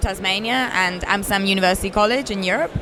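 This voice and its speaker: Over noticeable background noise, a woman with a British accent speaks at medium pitch and a fairly quick pace with fairly even intonation. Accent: very British. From Italy. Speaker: games company founder. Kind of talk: interview.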